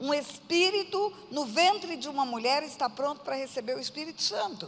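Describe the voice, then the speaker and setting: A woman talks with lively intonation amid noticeable background noise. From Brazil, Mato Grosso do Sul (Aquidauana). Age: 60s. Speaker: pastor. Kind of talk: testimony.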